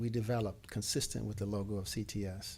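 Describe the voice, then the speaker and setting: Speaking at a fairly quick pace, a man with an American accent has a dark, mellow tone. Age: 60s. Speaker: professor. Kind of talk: keynote speech.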